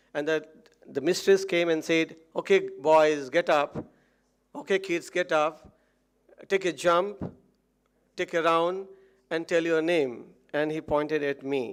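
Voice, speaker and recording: Speaking with an Odisha accent, a man leaves long, frequent pauses. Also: fairly high pitch for a man, fairly slow pace. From India, Odisha. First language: Odia. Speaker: motivational speaker. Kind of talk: motivational speech. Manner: halting.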